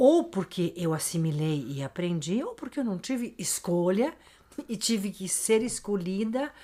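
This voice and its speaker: Her voice sits at medium pitch with a dark, mellow tone. The woman talks at a fairly slow pace. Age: 60s. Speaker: podcast guest, host's mother. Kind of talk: casual interview chat.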